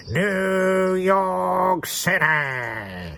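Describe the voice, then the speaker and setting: A nasal, put-on character voice comes through over clear background noise. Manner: announcing, shouted.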